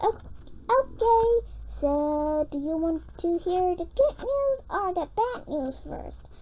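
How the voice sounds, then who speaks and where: Clear background noise runs behind a woman doing a squeaky, put-on character voice at a very slow pace. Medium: read story. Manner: sly, snickering.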